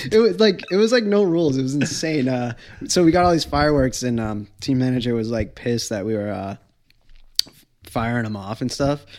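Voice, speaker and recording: Moving at a fairly quick pace, a man with an American accent and medium pitch makes very wide pitch swings. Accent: slight Boston accent, slips when excited. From Massachusetts (Wareham). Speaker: professional skateboarder. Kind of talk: casual chat.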